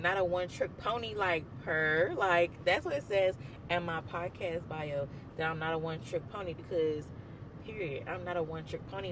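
A man with an American accent speaks at a moderate pace in a high voice with ordinary pitch variation. Noticeable background noise runs underneath. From Mississippi, US. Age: 20s. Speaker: podcast host. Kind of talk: casual podcast talk. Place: car. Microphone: handheld.

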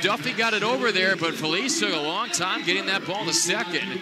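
A man with a high pitch and lively intonation amid noticeable background noise. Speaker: baseball radio broadcaster. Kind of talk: live baseball play-by-play commentary. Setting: ballpark press box, live broadcast.

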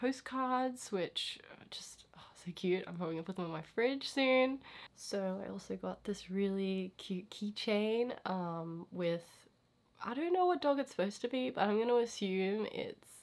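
A woman's fairly slow speech with lively intonation. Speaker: art vlogger. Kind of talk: casual vlog chat. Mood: cheerful, chatty. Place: home room. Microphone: handheld.

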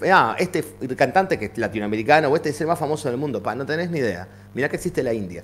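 Very fast delivery with very wide pitch swings and vocal fry over light background noise. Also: man, fairly high pitch for a man. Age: 40s. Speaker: teacher. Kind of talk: casual chat. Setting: live stream. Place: home room.

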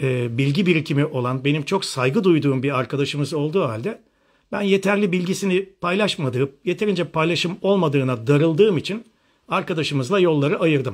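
A man with an animated tone and fairly high pitch, ordinary pitch variation, a fairly quick pace and a quiet background. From western Turkey, Manisa Alaşehir; western Turkey. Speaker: functional medicine doctor; presenter. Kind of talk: live online seminar. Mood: critical, arguing. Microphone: phone near.

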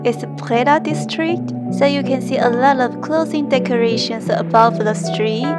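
A woman talks at a moderate pace. Loud music plays in the background. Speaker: travel vlogger. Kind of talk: casual vlog chat. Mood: cheerful, slightly shy. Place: street. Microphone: phone near.

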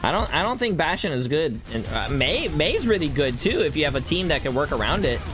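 Faint music plays in the background as a man talks fairly quickly, with hardly any pauses and very even loudness. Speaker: gaming YouTuber and streamer; gaming streamer. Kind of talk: casual gaming commentary. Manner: animated, joking. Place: home room. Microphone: studio mic.

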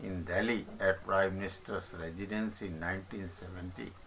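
Through noticeable background noise, a man with an Indian accent speaks at a moderate pace with ordinary pitch variation. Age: old. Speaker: retired commentator on politics. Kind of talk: reading aloud. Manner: halting.

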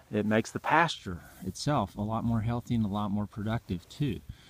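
The sound is dry with no echo and light background noise as a man speaks at a moderate pace in a fairly low voice with ordinary pitch variation. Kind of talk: casual explanatory talk. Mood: calm, informative. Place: open country. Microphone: phone near.

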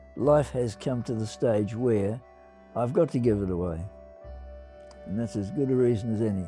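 A man with an Australian accent talks at a moderate pace in a medium pitch, with lively intonation and long, frequent pauses. Music plays in the background. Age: 80s+. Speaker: retiring amateur golfer. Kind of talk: documentary interview answer. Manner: calm, reflective.

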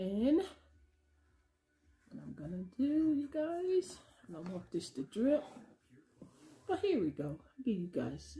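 At a fairly slow pace, a woman talks in a dark, mellow tone that is somewhat breathy. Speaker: home cooking channel host. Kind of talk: casual mukbang vlog chat. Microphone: phone near.

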